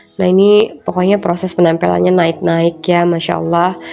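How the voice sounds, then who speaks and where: Music behind moderately paced speech. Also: woman. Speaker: homemaker vlogger. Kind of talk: voice-over narration of home video. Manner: casual, chatty.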